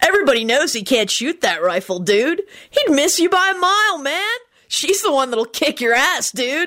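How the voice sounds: Using a put-on character voice, the speaker moves at a moderate pace with big pitch swings and a bright, sharp tone. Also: woman, high pitch for a woman.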